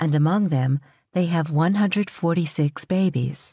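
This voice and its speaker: The voice has a dark, mellow tone, ordinary pitch variation and a moderate pace. The recording is very clean, with a silent background and a dry, close sound with no echo. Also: woman. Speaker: audiobook narrator. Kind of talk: audiobook narration.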